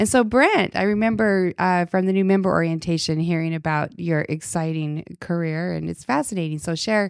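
An unremarkable speaking voice from a woman with an American accent, fairly low in pitch, at a moderate pace with ordinary pitch variation and hardly any pauses, on a very clean recording with a silent background. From Utah. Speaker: church ministry director and podcast host. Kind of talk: casual faith conversation.

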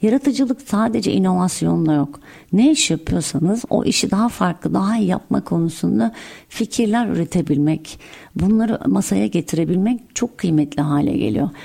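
A woman with a dark, mellow tone and vocal fry speaks at a fairly low pitch and a moderate pace. Her pitch swings very widely while her loudness stays very even. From Antalya, Turkey. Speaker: tech company founder and CEO. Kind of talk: interview.

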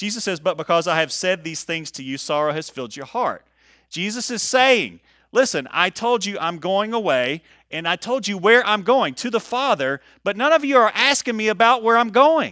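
Raised and projected, a man's high, bright and sharp voice moves at a moderate pace with very wide pitch swings and big swings in loudness, on a very clean recording with a silent background. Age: 40s. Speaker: pastor. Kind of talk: sermon. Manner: casual with frequent fillers.

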